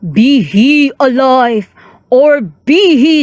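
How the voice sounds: Someone puts on a high-pitched character voice and speaks at a very slow pace.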